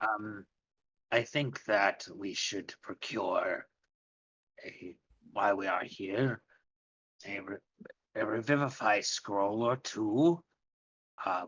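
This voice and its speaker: Using a put-on character voice, a man speaks raspy and fairly low at a very slow pace, with long, frequent pauses. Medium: actual play. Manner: formal, polite.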